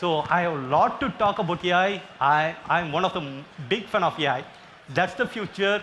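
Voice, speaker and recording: With a strong Indian accent, a man speaks in a high, bright, sharp tone with ordinary pitch variation. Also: moderate pace. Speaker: healthcare IT customer. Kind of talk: panel interview on stage.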